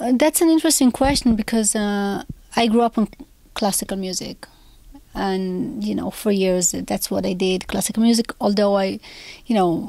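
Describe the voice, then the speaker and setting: A woman with an Israeli accent speaks at a moderate pace, using a medium pitch, ordinary pitch variation and a dark, mellow tone. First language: Hebrew. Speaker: composer. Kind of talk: interview.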